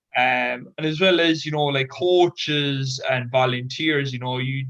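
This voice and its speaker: In a Cork accent, a man talks at a fairly slow pace with a medium pitch and monotone, flat intonation. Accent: Irish (Cork). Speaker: Special Olympics athlete and advocate. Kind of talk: panel discussion.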